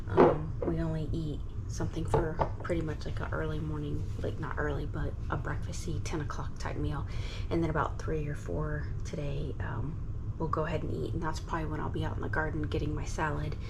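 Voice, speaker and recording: A woman whispers in a room with audible echo. Noticeable background noise runs under her voice. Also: fairly quick pace. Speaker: gardening vlogger. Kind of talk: casual vlog narration. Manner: whispering; hesitant, many fillers.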